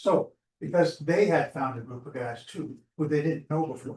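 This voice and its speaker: Somewhat breathy, a man speaks at a moderate pace and a fairly high pitch with ordinary pitch variation. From Alberta, Canada. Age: 70s. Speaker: community group organizer. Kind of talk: presentation to online audience. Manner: halting.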